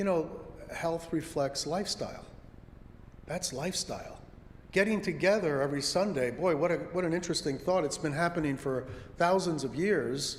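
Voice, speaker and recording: In a room with audible echo, a man with a high-pitched voice talks at a moderate pace. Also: ordinary pitch variation. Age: 70s. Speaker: congregation member giving a talk. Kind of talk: lay sermon talk. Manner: conversational.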